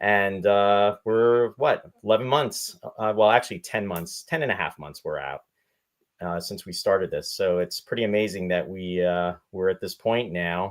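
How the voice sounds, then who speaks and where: A man's plain, everyday voice, fairly low-pitched, at a moderate pace with ordinary pitch variation. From Canada, Saskatchewan (Regina). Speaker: podcast host. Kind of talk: casual chat.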